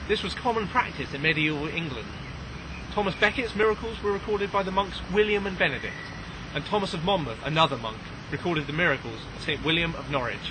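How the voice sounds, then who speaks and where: Over noticeable background noise, a man speaks very fast at a high pitch with lively intonation. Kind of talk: scripted narration, read aloud.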